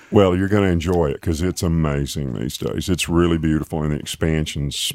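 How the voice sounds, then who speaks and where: With an Alabama accent and a very deep, low pitch, a man talks at a fairly quick pace with ordinary pitch variation and hardly any pauses. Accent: US Southern (Alabama). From Alabama, Tuscaloosa. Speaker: podcast host. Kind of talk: casual interview; scripted intro. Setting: studio.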